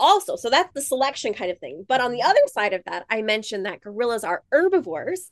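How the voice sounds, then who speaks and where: At a very fast pace with hardly any pauses, a high-pitched woman's voice makes very wide pitch swings in a dry, close sound with no echo. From rural South Dakota and Montana, US. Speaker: gorilla researcher. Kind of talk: interview for kids, science explanations.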